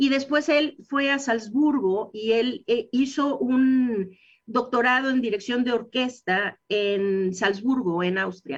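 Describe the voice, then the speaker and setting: A woman speaks at a very slow pace in an English accent, with a high pitch and hardly any pauses. Her loudness stays very even throughout. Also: ordinary pitch variation. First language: English (speaking Spanish). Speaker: dentist. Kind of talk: radio interview.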